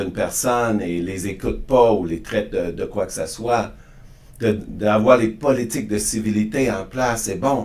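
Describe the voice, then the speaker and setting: A man with a fairly low pitch and ordinary pitch variation speaks at a fairly slow pace, with audible room echo. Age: 60s. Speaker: podcast guest on diversity and inclusion. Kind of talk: interview conversation. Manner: halting, frequent repetitions and restarts.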